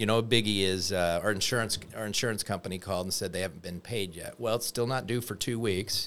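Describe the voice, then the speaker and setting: On a very clean recording with a silent background, a man with an American accent talks at a very fast pace in a fairly low pitch with fairly even intonation. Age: 50s. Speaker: mortgage loan officer. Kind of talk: casual chat.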